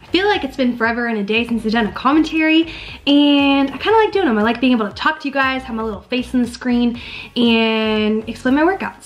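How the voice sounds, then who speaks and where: The speech runs at a very fast pace with lively intonation. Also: woman, high pitch for a woman. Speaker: fitness vlogger. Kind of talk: casual vlog chat. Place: home room. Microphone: webcam.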